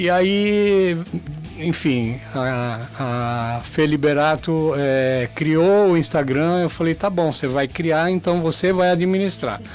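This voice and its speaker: A man speaks at a very slow pace with a fairly high pitch and very even loudness. Noticeable background noise runs underneath. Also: ordinary pitch variation. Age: 60s. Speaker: amateur marathon runner. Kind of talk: radio interview. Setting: radio studio. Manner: hesitant, many fillers.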